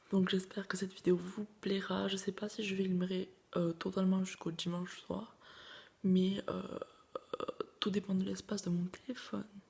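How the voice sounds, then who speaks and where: A soft-spoken woman with a medium pitch, moderate pace, monotone, flat intonation and long, frequent pauses. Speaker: vlogger, student. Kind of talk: casual vlog talk to camera.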